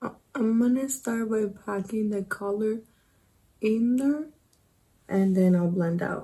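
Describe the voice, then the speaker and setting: A woman speaks very slowly in a dark, mellow, somewhat breathy tone with ordinary pitch variation. She leaves long, frequent pauses. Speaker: beauty vlogger. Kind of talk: makeup tutorial.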